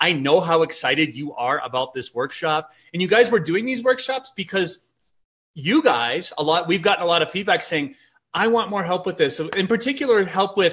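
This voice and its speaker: A man with an American accent speaks loudly at a moderate pace and high pitch. His pitch swings very widely against a quiet background. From outside the US. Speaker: online business host. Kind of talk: casual chat.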